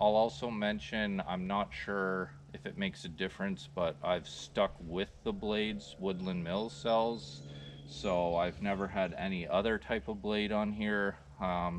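Speaking at a fairly slow pace with ordinary pitch variation, a man with a fairly low pitch is heard in a dry recording with no echo and light background noise. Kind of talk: tutorial. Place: open country.

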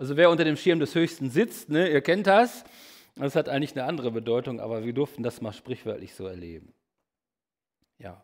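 A man with a fairly high voice and vocal fry talks at a fairly quick pace, with long, frequent pauses. His pitch swings very widely and his loudness changes sharply, over a quiet background. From Germany, Lippe region (Bad Salzuflen); Germany. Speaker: evangelist, guest preacher; preacher. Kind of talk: sermon. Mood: humorous, lively. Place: church.

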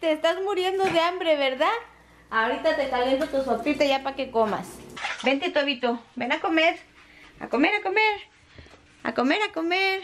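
A woman's high voice with lively intonation, moderate pace, long and frequent pauses, and light background noise. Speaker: home vlogger. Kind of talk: casual vlog chat. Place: kitchen. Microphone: phone near.

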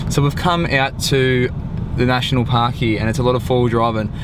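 A man's fairly even intonation, dry sound with no echo, and noticeable background noise. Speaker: travel vlogger. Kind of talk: casual vlog chat. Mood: playful, joking. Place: car. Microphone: phone near.

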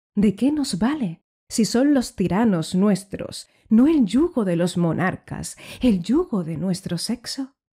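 Over a silent background in a very clean recording, a woman speaks at a very slow pace in a dramatic tone, somewhat breathy, dark and mellow, at a medium pitch with very wide pitch swings. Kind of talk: poem reading aloud. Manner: dramatic, declamatory, with indignant, ironic tone; measured, rhythmic delivery.

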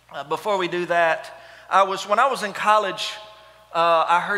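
In a raised, projected voice, a man talks at a fairly slow pace with ordinary pitch variation. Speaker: pastor. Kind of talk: sermon. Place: church. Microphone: headset.

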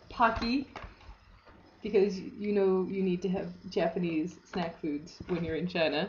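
A woman talks at a medium pitch with ordinary pitch variation. Noticeable background noise runs beneath her voice. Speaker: vlogger. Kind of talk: casual vlog. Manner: low-energy. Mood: cheerful, amused. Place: home room. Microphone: webcam.

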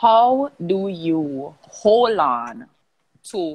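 A woman's voice with very wide pitch swings over a quiet background. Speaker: discussion host. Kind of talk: live interview hosting. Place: home room. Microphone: earbuds.

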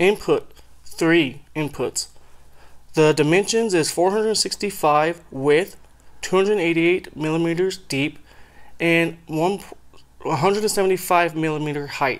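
The speech moves at a fairly slow pace with ordinary pitch variation and long, frequent pauses. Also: man, high pitch for a man. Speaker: audio equipment hobbyist. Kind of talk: scripted product review read.

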